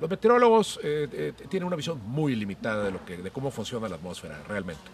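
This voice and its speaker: Noticeable background noise sits behind a man talking at a very fast pace. His fairly high voice swings very widely in pitch. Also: hardly any pauses. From Monterrey, northeastern Mexico. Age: 50s. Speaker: podcast host, cook and columnist. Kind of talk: casual chat. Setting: at home, outdoors in garden.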